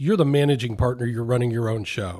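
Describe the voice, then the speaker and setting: Here is a man with an unremarkable speaking voice. His pitch sits in the medium range and varies in an ordinary way. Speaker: podcast host, wealth advisor. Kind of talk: interview.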